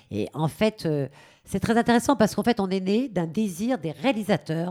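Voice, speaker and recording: Vocal fry runs through a woman's voice. Her tone is dark and mellow. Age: 50s. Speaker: actress and stage director. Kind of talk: radio interview.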